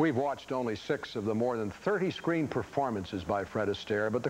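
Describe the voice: Faint background noise sits behind a man who speaks quickly at a medium pitch with big pitch swings.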